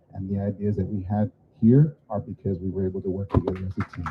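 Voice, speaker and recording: The speech comes at a very fast pace. The voice is somewhat breathy. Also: man. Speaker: school administrator hosting ceremony. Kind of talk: ceremony closing remarks.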